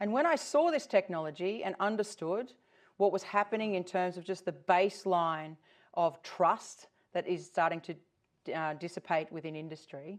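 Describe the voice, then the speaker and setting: With an Australian accent, a woman speaks at a medium pitch and a moderate pace, with ordinary pitch variation. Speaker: tech company founder. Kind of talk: conference talk.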